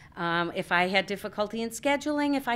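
A woman with an American accent and a medium pitch makes very wide pitch swings, in a very clean recording with a silent background. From Alaska. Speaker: Peace Corps volunteer and English teacher. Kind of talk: public talk with slideshow. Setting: stage with audience. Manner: hesitant with frequent ums.

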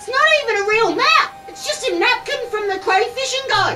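A put-on character voice pitched extremely high. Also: moderate pace. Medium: audio drama. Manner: eager, determined.

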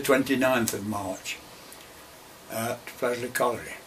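A man with an East Midlands accent, flat monotone delivery, light background noise. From Derbyshire / Nottinghamshire, England. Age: 80s+. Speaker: retired coal miner. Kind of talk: oral history interview answer. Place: office. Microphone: camera far.

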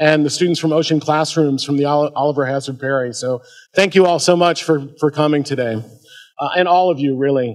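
Over a quiet background, a man with an ordinary speaking voice talks at a fairly quick pace with a fairly high pitch and fairly even intonation. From US Midwest, Ohio. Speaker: history professor. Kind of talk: lecture. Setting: stage with audience. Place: hall. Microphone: podium.

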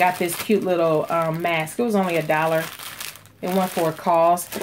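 Over noticeable background noise, a woman talks with fairly low pitch. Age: 40s. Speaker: beauty vlogger and small business owner. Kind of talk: casual vlog tutorial.

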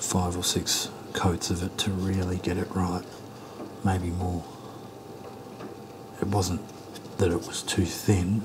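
Soft-spoken and relaxed in tone, a man with a very deep, low pitch talks at a very slow pace in a monotone, flat intonation, with long, frequent pauses and noticeable background noise. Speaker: miniature painter / ASMR creator. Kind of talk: casual talk to camera about painting models. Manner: quiet, soft-spoken, relaxed. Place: home room.

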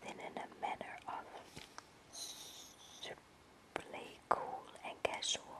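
Someone whispers over noticeable background noise. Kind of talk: audiobook-style narration of a short story, first-person boy narrator. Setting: lying in bed at home, webcam-style recording. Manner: whispered.

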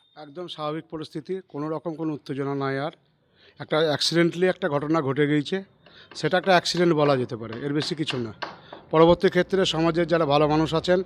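This man has a normal speaking voice pitched fairly high. His intonation is fairly even, and the sound is dry and close with no echo. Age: 50s. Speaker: temple caretaker and village committee member. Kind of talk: news interview.

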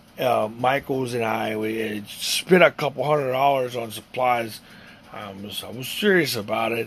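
A man puts on a raspy character voice at medium pitch. He talks at a moderate pace. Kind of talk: comic monologue. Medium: solo performance. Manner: stammering, halting, self-deprecating.

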